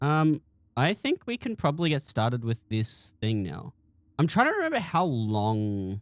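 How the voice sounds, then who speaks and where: A man with a medium pitch talks at a fairly slow pace, with lively intonation. The sound is dry and close, with no echo. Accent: Australian. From Australia. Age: 20s. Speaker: streamer and game modder. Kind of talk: casual live stream chat. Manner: halting, many restarts and fillers.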